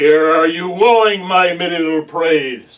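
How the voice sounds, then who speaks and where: A put-on character voice from a man, high in pitch and fairly slow. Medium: stage play. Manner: sly, wheedling.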